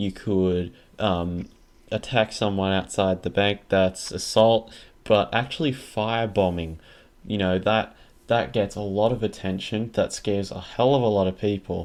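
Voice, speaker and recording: In a quiet background, a man with an Australian accent speaks fairly slowly at a fairly low pitch. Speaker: podcast host. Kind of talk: casual podcast chat.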